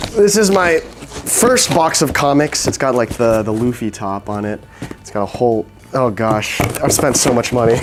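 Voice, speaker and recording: Against noticeable background noise, a man with an American accent speaks with lively intonation. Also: medium pitch for a man, moderate pace. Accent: sounds American. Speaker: vlogger. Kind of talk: scripted narration; casual vlog talk.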